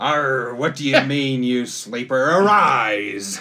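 At a very slow pace, a man does a put-on character voice with medium pitch and lively intonation. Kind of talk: exaggerated pirate talk. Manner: gruff, commanding pirate-style.

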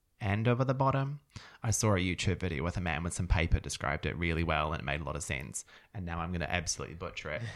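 A man with a New Zealand accent and a very deep, low pitch speaks at a very fast pace with very wide pitch swings and vocal fry, on a very clean recording with a silent background. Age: 30s. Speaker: podcast co-host. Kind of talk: casual chat.

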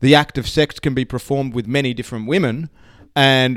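At a fairly quick pace, a man talks at medium pitch with an Australian accent. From Australia, Sydney. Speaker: author and speaker. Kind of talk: casual interview chat. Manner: halting, many fillers.

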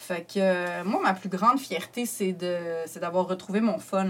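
The speaker is a woman. She speaks with a Quebec accent. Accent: Québécois French. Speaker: comedian. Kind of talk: casual chat.

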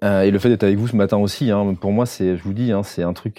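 In a very clean recording with a silent background, a man with a fairly low pitch and a dark, mellow tone speaks with fairly even intonation. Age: 40s. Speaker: photographer and filmmaker. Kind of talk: podcast interview, casual talk. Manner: hesitant, many fillers.

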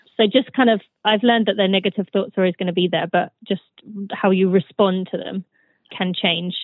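Intonation changes only a little and stays fairly even. The speech moves along at a fairly quick pace. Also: woman, medium pitch for a woman. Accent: British. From Britain. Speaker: former elite runner. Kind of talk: interview.

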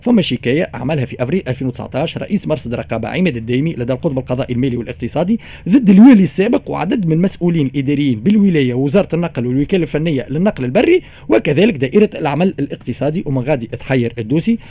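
Against noticeable background noise, a man talks at a very fast pace in a fairly high pitch with lively intonation. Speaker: radio news segment presenter. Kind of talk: news commentary segment.

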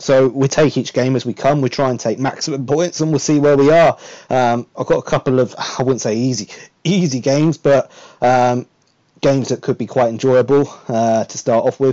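At a moderate pace, the speech keeps fairly even intonation in an unremarkable speaking voice. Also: man, medium pitch for a man. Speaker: podcast host. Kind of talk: casual chat. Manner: welcoming, conversational.

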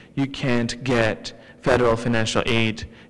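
Over music in the background, the speech moves at a very slow pace. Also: man. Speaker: student and immigrant rights advocate. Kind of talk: panel discussion.

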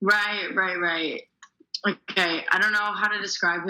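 A woman with an American accent and fairly even intonation. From Chicago suburbs, US Midwest. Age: 20s. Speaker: stand-up comedian. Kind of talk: casual chat. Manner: laid back.

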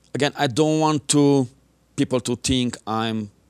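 In a non-native accent, a man speaks at a moderate pace with ordinary pitch variation, in a dry, close sound with no echo on a very clean recording with a silent background. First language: not English. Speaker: martial arts instructor and military veteran. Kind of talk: interview. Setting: local TV studio.

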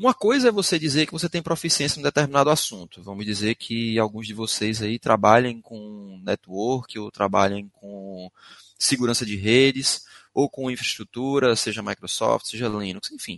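Big swings in loudness and ordinary pitch variation in a Pernambuco accent, with a dry, close sound, no echo and a quiet background. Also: man, medium pitch for a man. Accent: drawling Pernambuco. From Recife, Pernambuco, northeast Brazil. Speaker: IT security instructor. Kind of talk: webinar presentation.

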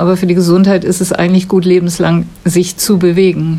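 There is noticeable background noise. Through it, a woman speaks at a moderate pace. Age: 70s. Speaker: retired school staff, former basketball player. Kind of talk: interview answers. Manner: articulate, fluent.

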